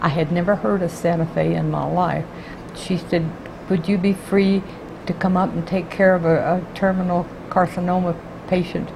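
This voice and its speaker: A woman with an American accent and a fairly low pitch speaks at a moderate pace in a monotone, flat intonation, with noticeable background noise. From Texas (Houston). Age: 80s+. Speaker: retired court clerk. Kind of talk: oral history interview.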